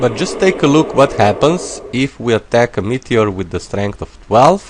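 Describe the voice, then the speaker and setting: Against noticeable background noise, a man with a non-native accent speaks at a fairly slow pace with lively intonation. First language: not English. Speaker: gaming YouTuber. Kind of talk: let's play commentary. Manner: casual, thinking aloud with hesitations.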